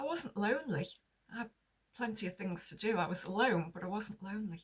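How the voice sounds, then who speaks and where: Lively intonation marks this woman's medium-pitched voice. She is somewhat breathy and speaks at a fairly quick pace. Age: 60s. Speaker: lifestyle vlogger. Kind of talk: casual monologue to camera. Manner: conversational.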